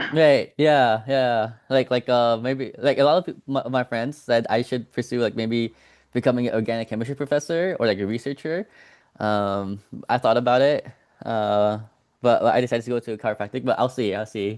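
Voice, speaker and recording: Medium pitch from a man, ordinary pitch variation, a moderate pace. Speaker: organic chemistry tutor. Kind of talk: casual chat; tutoring session. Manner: halting, many fillers.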